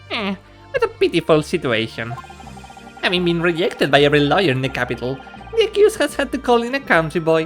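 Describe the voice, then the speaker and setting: Over clear background music, a man speaks very fast in a high, nasal, put-on character voice. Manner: haughty, pompous.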